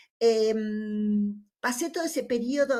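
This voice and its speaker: A woman with a Rioplatense accent speaks at a fairly high pitch. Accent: Argentine Rioplatense Spanish. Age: 60s. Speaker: nursing teacher. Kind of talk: conference discussion remarks. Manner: halting, many fillers; conversational.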